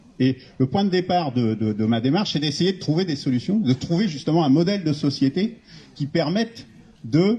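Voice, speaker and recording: Moving at a moderate pace, a man with a fairly high pitch swings his pitch very widely. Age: 60s. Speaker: retired engineer, civic initiative founder. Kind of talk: public talk at a meeting. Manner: halting.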